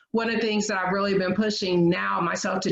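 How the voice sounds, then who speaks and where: In an American accent, a woman speaks at a medium pitch. Her pitch varies in an ordinary way. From Michigan, US Midwest. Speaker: professor. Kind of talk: panel discussion.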